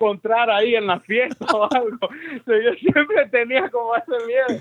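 Over noticeable background noise, a man talks at a moderate pace in an extremely high pitch. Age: 20s. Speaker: pastor. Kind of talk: interview testimony.

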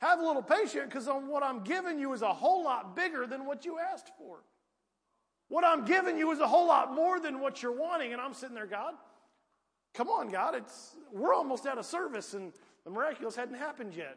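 Someone with an American accent talks at a fairly quick pace with lively intonation and big swings in loudness, in a space with audible room echo. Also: man, extremely high pitch for a man. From US South, rural Piedmont. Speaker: preacher. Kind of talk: sermon. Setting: church.

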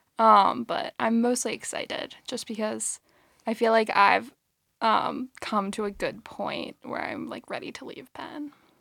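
Speaking at a fairly slow pace, a woman is captured in a very clean recording with a silent background and a dry, close sound with no echo. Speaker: graduating college senior. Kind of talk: casual chat.

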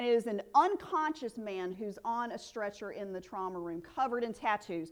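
A woman with a Southern US accent. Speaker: preacher. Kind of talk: sermon. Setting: church.

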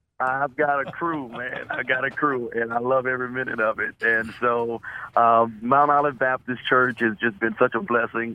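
Here a man talks at a moderate pace and a medium pitch. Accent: American. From Oklahoma, Muskogee. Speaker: pastor. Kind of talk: radio interview, testimony. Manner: animated, enthusiastic.

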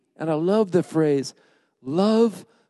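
This man's voice has a dark, mellow tone. His pitch swings very widely. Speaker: pastor. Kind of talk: sermon. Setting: church.

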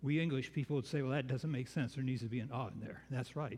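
The man's voice comes across somewhat breathy. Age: 70s. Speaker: preacher. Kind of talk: sermon. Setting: church.

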